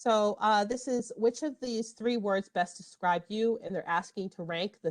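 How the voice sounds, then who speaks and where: In a dry, close sound with no echo, a woman uses an ordinary speaking voice at a medium pitch and moderate pace, her intonation lively. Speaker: librarian. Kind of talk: tutorial. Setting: online workshop.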